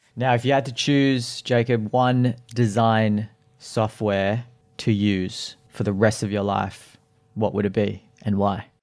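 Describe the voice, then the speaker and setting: With an Australian accent, a man speaks very slowly in a fairly low voice with fairly even intonation, on a very clean recording with a silent background. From Australia (Sydney). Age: 30s. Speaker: podcast host. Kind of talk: interview; scripted narration.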